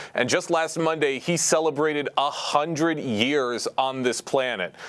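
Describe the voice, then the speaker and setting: In an unremarkable speaking voice, a man talks at a fairly slow pace and a fairly high pitch, with ordinary pitch variation and very even loudness. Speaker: local TV reporter. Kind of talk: local news report.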